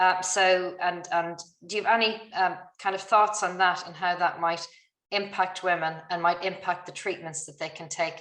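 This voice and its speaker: In an Irish accent, a woman speaks at a moderate pace and medium pitch with monotone, flat intonation and big swings in loudness. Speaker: webinar moderator, doctor. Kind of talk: webinar Q&A moderation. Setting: online webinar.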